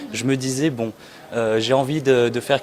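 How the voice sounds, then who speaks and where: A man talks with ordinary pitch variation while noticeable background noise carries on. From France (Châteauroux, central France). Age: 20s. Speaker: immigration lawyer. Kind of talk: interview. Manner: hesitant, many fillers.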